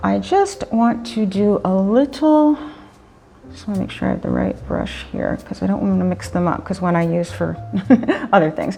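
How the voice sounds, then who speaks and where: With noticeable background noise behind her, a woman talks at a moderate pace in an upbeat tone. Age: 50s. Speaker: makeup artist and photographer. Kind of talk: makeup tutorial talk to camera. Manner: casual, chatty, upbeat.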